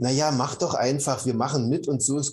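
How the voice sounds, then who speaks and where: This man has a fairly high pitch and a somewhat breathy sound. He keeps a moderate pace. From East Germany. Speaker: meditation teacher and former engineer. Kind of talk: interview.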